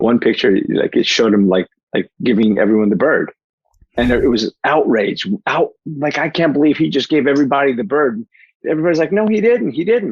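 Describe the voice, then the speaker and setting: In a New Jersey accent, a man speaks fairly quickly in an animated tone, his fairly high pitch making very wide swings while his loudness stays very even. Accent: New Jersey American. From New Jersey, US; born in Portugal. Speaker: life coach and keynote speaker. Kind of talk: podcast interview. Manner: fast.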